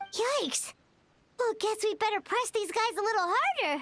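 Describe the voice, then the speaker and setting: With music playing in the background, a put-on character voice speaks at a moderate pace in an extremely high pitch. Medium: video game. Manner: energetic, casual.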